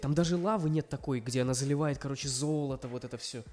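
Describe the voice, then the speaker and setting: A man with a fairly high voice talks at a very fast pace over noticeable background noise. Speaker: podcast co-host. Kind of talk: casual chat. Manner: quiet.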